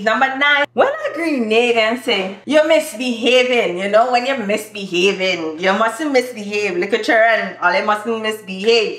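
A woman's voice with very wide pitch swings and audible room echo. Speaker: YouTuber. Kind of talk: casual talk to camera. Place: home room. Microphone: camera far.

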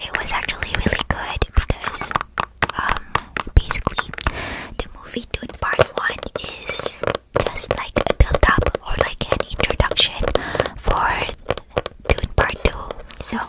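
A soft-spoken woman whispers at a fairly slow pace. She pauses long and often. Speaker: ASMR creator. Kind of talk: soft-spoken ASMR chat with repeated words. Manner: close-mic soft ASMR whisper. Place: home room. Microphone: studio mic.

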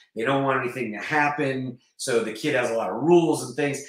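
A man at medium pitch and a fairly quick pace, ordinary pitch variation, audible room echo, quiet background. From US South, North Carolina. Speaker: actor and martial artist. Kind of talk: casual chat. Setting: video call. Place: home room. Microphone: webcam.

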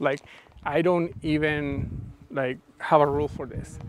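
A man is heard in a dry recording with no echo and light background noise. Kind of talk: live workshop explanation and directing a model. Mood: relaxed, playful. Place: garden.

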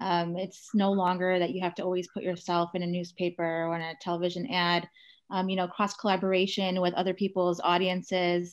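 The speaker uses monotone, flat intonation over a quiet background. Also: woman, fairly quick pace. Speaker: entrepreneur, founder. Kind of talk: panel discussion. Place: home room. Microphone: video call.

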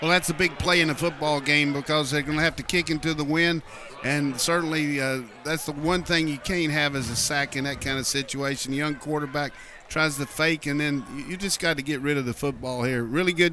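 In an animated tone, a man talks at a fairly quick pace with a fairly high pitch, the sound dry with no echo but noticeable background noise. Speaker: color analyst. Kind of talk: live football game analysis. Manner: animated, conversational, explaining plays with folksy asides.

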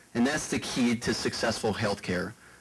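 Noticeable background noise runs under the speech. The pace is fairly quick, with an American accent. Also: man. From Prince William County, Virginia; Virginia. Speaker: political candidate; candidate. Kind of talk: debate. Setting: stage with audience. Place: hall. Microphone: handheld.

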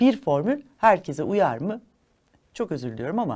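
Against a silent background in a very clean recording, a woman talks at a moderate pace with very wide pitch swings. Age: 50s. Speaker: holistic living consultant and chef. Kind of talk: educational monologue. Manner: formal.

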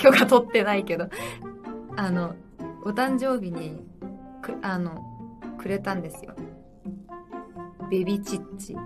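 Clear music plays in the background. The speech goes at a fairly slow pace, with long, frequent pauses. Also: woman, ordinary pitch variation. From Japan. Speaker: pop idol. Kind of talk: casual livestream talk. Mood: cheerful, relaxed. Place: home room.

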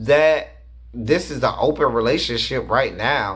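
A man's animated voice at a fairly slow pace against a quiet background. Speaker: reality TV reviewer and teacher. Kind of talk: angry rant; casual video review and commentary. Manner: loud, fired-up, sarcastic and insulting; animated, casual and slangy. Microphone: webcam.

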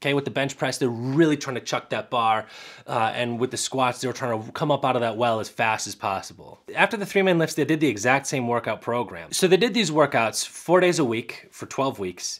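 Speaking at a fairly quick pace with lively intonation, a man is heard against a quiet background. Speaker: physical therapist reviewing research. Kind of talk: explanatory vlog commentary.

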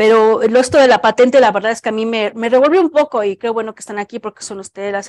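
Talking very fast at a fairly high pitch, a woman uses ordinary pitch variation over a quiet background, the sound dry with no echo. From Mexico. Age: 40s. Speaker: cancer researcher. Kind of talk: Q&A answers; lecture. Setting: auditorium with live audience. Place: hall.

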